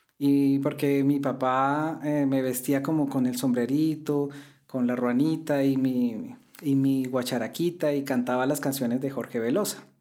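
In a room with audible echo, a man with a dark, mellow tone speaks fairly slowly in a flat monotone at very even loudness. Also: fairly high pitch for a man. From Colombia. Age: 40s. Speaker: classical guitarist. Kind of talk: interview.

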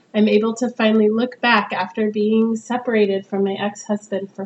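Over noticeable background noise, a woman with a West Coast American accent speaks at a fairly high pitch. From Northern California. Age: 40s. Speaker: podcast host, mature student. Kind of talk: casual monologue. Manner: casual, with frequent fillers.

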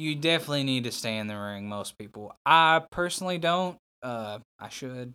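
In a Southern US accent, a man with a medium pitch speaks at a moderate pace with lively intonation, a bright, sharp tone and big swings in loudness, on a very clean recording with a silent background. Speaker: professional wrestler. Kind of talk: casual chat.

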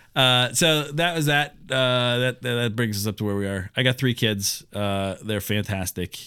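A man with a normal speaking voice talks at a medium pitch and a moderate pace. He uses ordinary pitch variation and hardly any pauses. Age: 30s. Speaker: podcast co-host, pastor. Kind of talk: casual chat.

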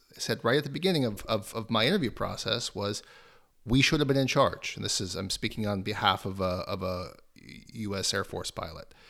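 This is a plain, everyday voice, a man at a medium pitch with lively intonation. He speaks at a fairly quick pace in a very clean recording with a silent background. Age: 30s. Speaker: author and think tank researcher. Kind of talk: interview.

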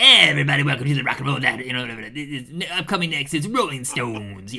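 A man puts on a character voice at a fairly high pitch. He talks at a fairly quick pace over clear background noise. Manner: fast, rapid-fire, no pauses.

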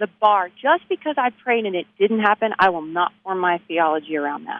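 A woman with a Texan accent and lively intonation. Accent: Texan American. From Texas, Abilene. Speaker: author and musician. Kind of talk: interview.

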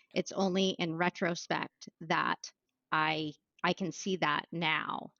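In an American accent, a woman uses an unremarkable speaking voice with a fairly low pitch and fairly even intonation. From Maine, US. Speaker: business executive and author. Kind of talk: podcast interview.

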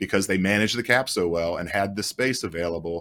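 A man talks at a fairly quick pace in an unremarkable speaking voice with ordinary pitch variation. The recording is very clean, with a silent background. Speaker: sports journalist. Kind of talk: casual chat.

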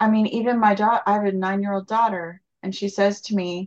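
A woman's normal speaking voice, a plain medium pitch at a moderate pace, against a quiet background. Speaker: interviewer, podcast host. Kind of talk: casual interview.

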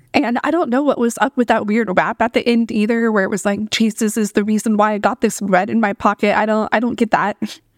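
In a plain, everyday voice, the speaker goes at a fairly quick pace with fairly even intonation, recorded with a dry, close sound and no echo. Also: woman, fairly high pitch for a woman. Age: 30s. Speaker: podcast host. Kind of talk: solo commentary podcast.

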